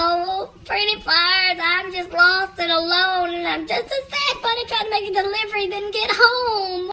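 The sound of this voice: Someone uses a put-on character voice with a bright, sharp tone. The intonation stays fairly even. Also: moderate pace.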